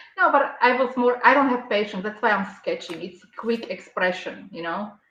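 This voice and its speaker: A woman with a non-native accent talks at a moderate pace in a high pitch. Her intonation is lively, and her loudness swings widely. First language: not English. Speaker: artist and architect. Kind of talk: casual chat.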